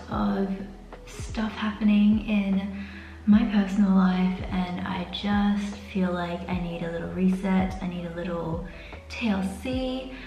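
A woman speaks at a very slow pace, with audible room echo and faint music in the background. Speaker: beauty vlogger. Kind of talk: casual vlog chat. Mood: stressed but relaxed, chatty. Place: bathroom. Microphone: camera far.

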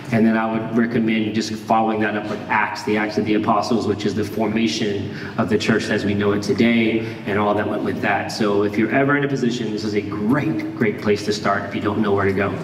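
A man with a fairly low pitch talks in a monotone, flat intonation, with light background noise and audible room echo. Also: fairly quick pace, hardly any pauses. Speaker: pastor. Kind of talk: sermon. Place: church.

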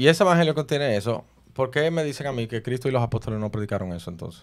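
Nothing much sounds in the background. A man rushes along at a very fast pace, his intonation lively. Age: 30s. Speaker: preacher; podcast host, Bible debater. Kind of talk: heated debate. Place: studio. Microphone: studio mic.

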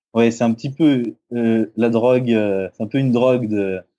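On a very clean recording with a silent background, a man with a medium pitch and a dark, mellow tone speaks at a fairly slow pace with fairly even intonation. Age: 20s. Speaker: bodybuilder and sports nutritionist. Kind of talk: casual interview.

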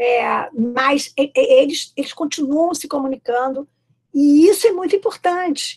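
A high-pitched woman with lively intonation at a fairly slow pace, over a quiet background. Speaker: history professor. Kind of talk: academic panel talk. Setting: video call. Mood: warm, engaged. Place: home room. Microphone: video call.

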